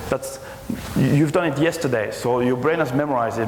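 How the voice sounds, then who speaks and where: Noticeable background noise and audible room echo accompany a man who talks very fast. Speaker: conference speaker, technology executive. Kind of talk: conference presentation.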